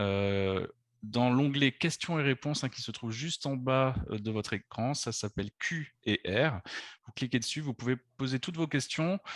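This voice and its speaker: In a Bordeaux accent, a man talks fairly slowly at a medium pitch with ordinary pitch variation, the sound dry and close with no echo. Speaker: travel agency director. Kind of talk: webinar presentation. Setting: video conference. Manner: hesitant, many fillers.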